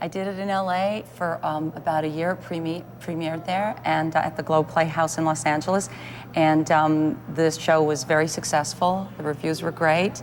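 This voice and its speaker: This speaker has a Canadian accent and a moderate pace. The intonation is fairly even, with noticeable background noise. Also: woman, very deep, low pitch for a woman. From Canada, Thunder Bay, Ontario. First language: Italian. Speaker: actress and playwright. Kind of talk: TV interview.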